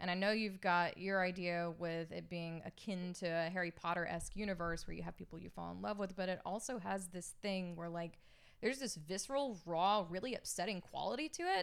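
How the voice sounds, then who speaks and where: The speaker has a plain, everyday voice with ordinary pitch variation. They talk at a fairly quick pace with hardly any pauses. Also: woman, medium pitch for a woman. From US South, Alabama. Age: 30s. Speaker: podcast guest, anime fan. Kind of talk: casual chat.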